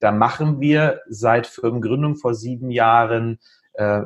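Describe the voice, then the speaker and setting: Somewhat breathy, a man speaks at medium pitch with fairly even intonation. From northern Germany, Lüneburg Heath (Lower Saxony). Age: 40s. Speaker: IT entrepreneur. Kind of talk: podcast interview.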